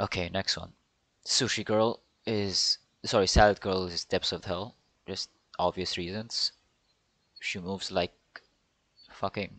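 In a quiet background with dry sound and no echo, a man speaks in a fairly low, monotone, flat voice at a fairly slow pace with long, frequent pauses. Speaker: streamer ranking ad characters. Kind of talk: casual commentary. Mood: joking, irreverent. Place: home room.

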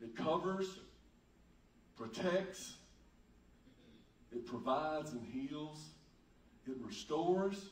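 Room echo is audible as a man speaks at a very slow pace. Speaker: pastor. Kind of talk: sermon preached to a congregation. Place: church.

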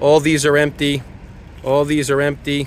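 A man speaks at a moderate pace in a dry sound with no echo, with light background noise behind him. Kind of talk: tutorial. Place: street. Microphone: phone near.

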